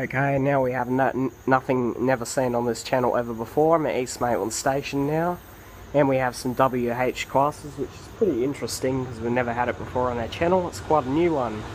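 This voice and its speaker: With an Australian accent, a man talks at a fairly quick pace with fairly even intonation over light background noise. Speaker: trainspotting video blogger. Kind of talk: casual vlog commentary. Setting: outdoors by railway tracks. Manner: halting, with fillers. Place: station. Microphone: phone near.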